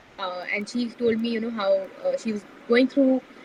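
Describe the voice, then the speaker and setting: A woman talks at a fairly quick pace and a high pitch. She is soft-spoken. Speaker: community founder. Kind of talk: podcast interview. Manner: hesitant, many fillers.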